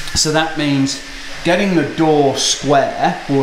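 A man talks at a fairly slow pace, with audible room echo and noticeable background noise. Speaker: car restorer vlogger. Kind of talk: casual vlog chat. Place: workshop. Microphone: phone near.

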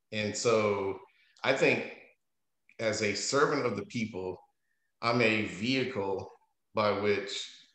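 A man speaks very slowly against a quiet background, with audible echo from the room. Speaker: interview guest. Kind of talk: interview answer. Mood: amused, then reflective. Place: home room. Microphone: video call.

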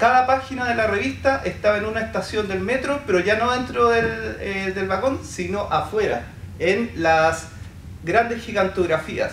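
A fairly slow delivery with light background noise and audible room echo. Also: man, high pitch for a man, ordinary pitch variation. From Chile. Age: 40s. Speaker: poet and artist; poet. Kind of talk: panel presentation. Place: hall.

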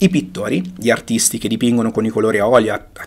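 A man speaks at a fairly quick pace with lively intonation. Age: 40s. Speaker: photography teacher. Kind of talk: online lecture. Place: home room.

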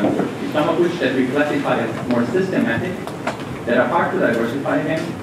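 With noticeable background noise and audible room echo, a man speaks at a very fast pace. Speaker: conference presenter. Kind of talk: lecture. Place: hall.

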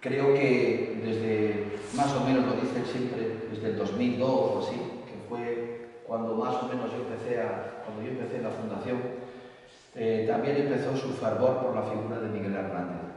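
Strong room echo surrounds a man speaking at a fairly slow pace with fairly even intonation. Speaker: presenter. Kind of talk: formal presentation speech. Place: hall.

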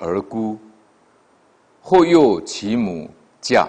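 Speaking at a very slow pace, the man has a fairly low pitch that moves in very wide swings. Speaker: lecturer. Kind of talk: lecture reading of classical text. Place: studio.

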